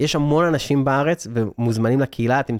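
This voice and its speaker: A man speaks at a fairly quick pace in a normal speaking voice with ordinary pitch variation. The recording is very clean, with a silent background and a dry, close sound with no echo. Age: 30s. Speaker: digital nomad entrepreneur and speaker. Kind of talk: interview. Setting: studio.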